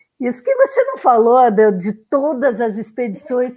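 Speaking at a fairly slow pace, a woman has high pitch and a dark, mellow tone. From southern Brazil (Rio Grande do Sul). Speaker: podcast host and sailor. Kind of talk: casual interview. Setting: video call livestream.

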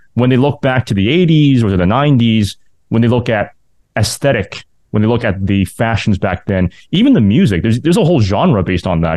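This man has a dark, mellow tone, a medium pitch and lively intonation. He talks at a moderate pace, and the sound is dry and close with no echo. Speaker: podcast host and university sports announcer. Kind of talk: interview.

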